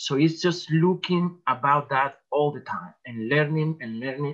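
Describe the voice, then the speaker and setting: A man with a Spanish accent speaks at a fairly slow pace, his fairly high pitch showing ordinary pitch variation. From El Salvador. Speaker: artist. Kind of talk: talk. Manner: halting.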